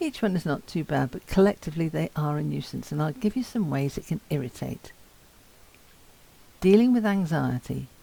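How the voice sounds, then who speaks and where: A woman speaks at a moderate pace with lively intonation. Her very deep, low voice has a dark, mellow tone. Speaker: person with Parkinson's giving a talk. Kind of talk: talk to students. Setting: talk to university students. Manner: slurred at times.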